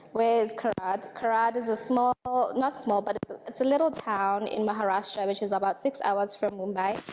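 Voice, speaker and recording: The speaker has a Tswana accent and fairly even intonation, with hardly any pauses. Noticeable background noise can be heard. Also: woman, fairly high pitch for a woman, moderate pace. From Botswana. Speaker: radiation technician trainee. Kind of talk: testimonial.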